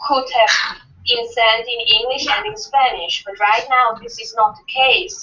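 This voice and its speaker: Speaking at a very slow pace, a woman with a high pitch talks in a non-native accent. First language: not English. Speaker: association officer presenting amendment. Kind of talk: meeting debate.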